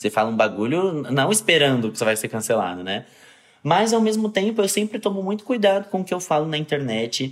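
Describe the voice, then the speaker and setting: A man talks at a fairly quick pace. His fairly high voice moves in very wide pitch swings. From Brazil, São Paulo. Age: 20s. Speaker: actor and content creator. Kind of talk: interview.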